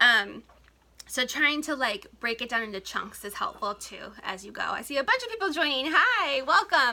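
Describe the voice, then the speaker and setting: A high-pitched woman in a raised, projected voice shows very wide pitch swings and big swings in loudness, with noticeable background noise. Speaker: blogger and small business coach. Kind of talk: live stream talk to viewers. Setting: home, Instagram live. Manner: fast.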